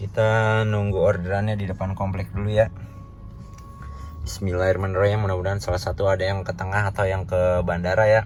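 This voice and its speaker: Talking at a very fast pace, a man uses a fairly low pitch and a monotone, flat intonation. Noticeable background noise runs underneath. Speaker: ride-hailing driver vlogger. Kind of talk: casual vlog. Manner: not loud, holding back.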